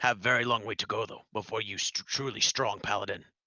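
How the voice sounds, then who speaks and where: A put-on character voice from a man, raspy and medium-pitched, flat and monotone, at a fairly quick pace. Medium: actual play. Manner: broken English, dropping articles and verb endings; blunt, short clipped sentences.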